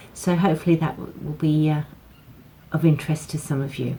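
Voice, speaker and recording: A woman speaks with a British accent at a moderate pace. Her pitch is fairly low. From UK. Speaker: craft demonstrator. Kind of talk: tutorial. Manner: casual, with frequent fillers.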